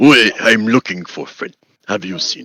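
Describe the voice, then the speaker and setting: A man puts on a raspy character voice, talking at a moderate pace with a medium pitch. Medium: actual play. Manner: halting broken speech, dropped articles.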